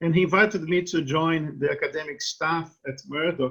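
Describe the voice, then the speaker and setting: With a Brazilian accent, a man speaks at a fairly high pitch. His pace is moderate and his intonation fairly even. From Brazil, Rio de Janeiro. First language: Portuguese. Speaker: law professor. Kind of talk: interview.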